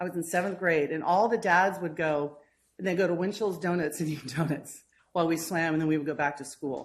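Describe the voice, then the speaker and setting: Speaking at a fairly quick pace, a woman uses fairly even intonation at fairly low pitch. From Northern California, Novato. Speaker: swim coach. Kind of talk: public comment. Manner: loud.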